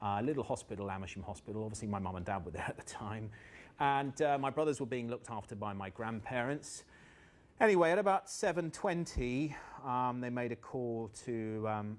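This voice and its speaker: This man talks with a southern English accent. His medium-pitched voice has lively intonation. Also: fairly quick pace. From southern England, Buckinghamshire. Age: 40s. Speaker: motivational trainer. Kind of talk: workshop talk. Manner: animated.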